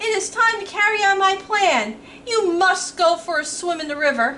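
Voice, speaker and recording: In a squeaky, put-on character voice at an extremely high pitch, a woman talks at a moderate pace over clear background noise. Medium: read story. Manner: bold, courtly.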